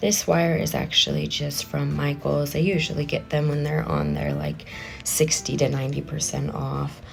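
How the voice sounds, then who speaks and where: The speaker is a woman, talking at a moderate speed. Background music can be heard. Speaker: craft youtuber. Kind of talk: tutorial. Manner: casual, with fillers.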